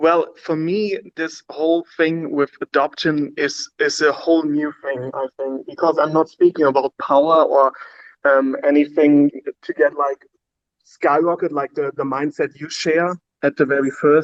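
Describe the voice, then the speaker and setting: A man's fairly high voice with a non-native accent, monotone, flat intonation and a fairly slow pace. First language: not English. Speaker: stake pool operator doing charity. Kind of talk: casual chat. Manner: halting, many fillers.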